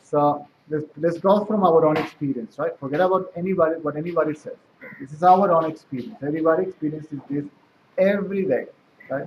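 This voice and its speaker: A man talks at a very fast pace with fairly high pitch and ordinary pitch variation. His loudness rises and falls in big swings. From South America. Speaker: spiritual teacher. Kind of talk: spiritual talk.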